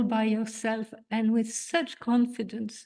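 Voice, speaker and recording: A woman's fairly high voice, dark and mellow in tone, at a very slow pace. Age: 70s. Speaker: congregation member giving a reflection. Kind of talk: reading aloud own letter.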